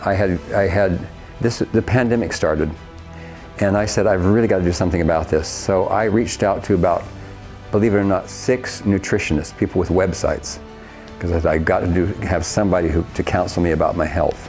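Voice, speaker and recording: With music in the background, a man with a very deep, low pitch and an American accent speaks at a fairly quick pace with ordinary pitch variation. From Ohio, USA. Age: 70s. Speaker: singing teacher, former opera singer. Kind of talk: interview answer.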